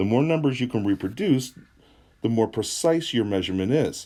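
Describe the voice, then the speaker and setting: A man's medium-pitched voice with a dark, mellow tone, very wide pitch swings and a fairly quick pace, on a very clean recording over a silent background. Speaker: chemistry teacher. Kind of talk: lecture. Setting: at home, recording on a tablet. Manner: soft-spoken.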